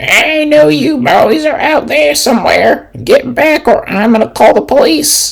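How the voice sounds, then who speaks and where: In a put-on character voice, the speaker goes at a fairly slow pace with hardly any pauses. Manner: warning and threatening.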